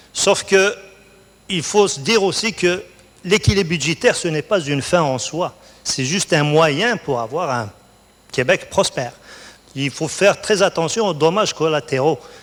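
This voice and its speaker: A high-pitched man with a North African accent, lively intonation, a fairly slow pace and long, frequent pauses. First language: Berber (speaking French). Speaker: college researcher, award laureate. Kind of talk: onstage interview.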